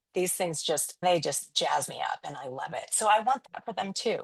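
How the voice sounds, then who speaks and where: At a moderate pace over a quiet background, a woman of medium pitch talks in a plain, everyday voice. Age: 50s. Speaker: photographer and branding coach. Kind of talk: podcast interview.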